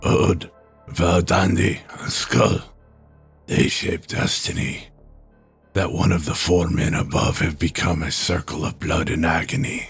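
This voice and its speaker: In a raspy put-on character voice, a man speaks at a fairly slow pace with very deep, low pitch over faint music in the background. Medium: read story. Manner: terse, cryptic.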